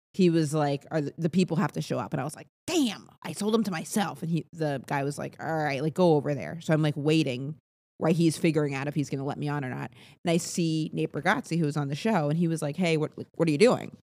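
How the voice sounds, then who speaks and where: A very fast woman's voice, very deep and low, dark and mellow in tone, on a very clean recording with a silent background. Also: ordinary pitch variation. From New England, Maine. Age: 30s. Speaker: stand-up comedian. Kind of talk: casual chat. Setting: in person.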